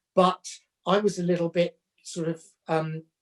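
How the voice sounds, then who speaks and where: A man with a high voice talks at a very slow pace, his pitch varying in an ordinary way. The sound is dry and close, with no echo. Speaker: fashion educator. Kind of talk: casual chat. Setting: video call.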